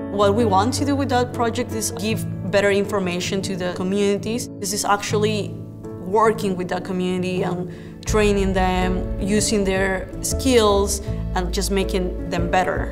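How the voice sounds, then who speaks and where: A woman speaks in a Spanish accent over clear music in the background. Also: moderate pace. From Peru (Lima). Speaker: public health graduate student. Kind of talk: interview answer. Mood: warm, grateful. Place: office. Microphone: lapel.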